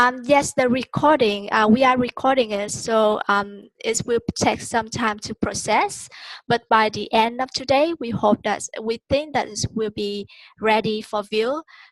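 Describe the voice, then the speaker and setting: With a dry, close sound and no echo, a woman speaks fairly slowly in a fairly high pitch and fairly even intonation. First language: Vietnamese. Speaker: online course tutor. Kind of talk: webinar teaching. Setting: video call. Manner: hesitant, many fillers.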